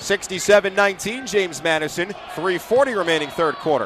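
A high-pitched man in an animated, excited tone, with noticeable background noise. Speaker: college basketball play-by-play announcer. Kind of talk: live sports commentary, play-by-play of a women's basketball game. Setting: arena, home broadcast from the arena. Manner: animated, excited at big plays.

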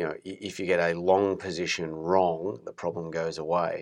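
A man talks in a very deep, low voice at a moderate pace. His intonation is monotone and flat, over a quiet background. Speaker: podcast host, wealth management.

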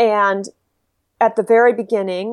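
A woman with an American accent talks at a moderate pace in a medium-pitched voice. The recording is very clean, with a silent background and a dry, close sound with no echo. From Texas. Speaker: games writer and reviewer. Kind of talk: casual chat.

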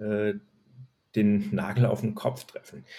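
The voice has a dark, mellow tone, a fairly slow pace and ordinary pitch variation. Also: man. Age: 40s. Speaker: HR manager in retail. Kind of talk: interview. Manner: frequent filler hesitations.

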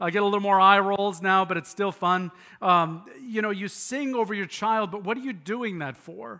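A raised, projected voice with a bright, sharp tone and ordinary pitch variation moves at a moderate pace on a very clean recording with a silent background. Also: man. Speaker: pastor. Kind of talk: sermon. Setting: church.

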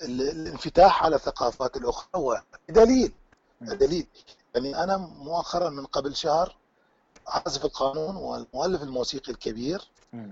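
A man with an Iraqi accent speaks at a fairly slow pace. His pitch is fairly high and his loudness swings a lot. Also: lively intonation. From Iraq, Baghdad. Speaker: qanun teacher and musician. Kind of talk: interview. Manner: frank, blunt.

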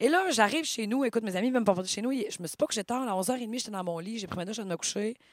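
Very fast speech in a Quebec accent, lively in intonation, with hardly any pauses. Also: woman, fairly high pitch for a woman. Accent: Québécois French. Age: 30s. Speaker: podcast co-host. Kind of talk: casual chat.

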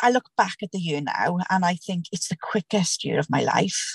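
In a fairly low voice with vocal fry, a woman speaks at a moderate pace with fairly even intonation. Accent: South Wales. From Caerphilly, Wales. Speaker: COVID patient, new mother. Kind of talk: testimony, emotional personal story.

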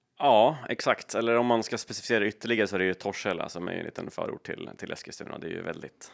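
Man's medium-pitched voice at a very fast pace with hardly any pauses, big swings in loudness and ordinary pitch variation. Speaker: private investor and entrepreneur. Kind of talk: interview.

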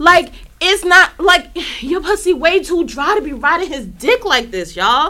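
Raised and projected, a woman's voice has a bright, sharp tone. She moves at a moderate pace while her pitch swings very widely. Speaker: wrestling podcast co-host. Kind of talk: casual chat. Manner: animated.

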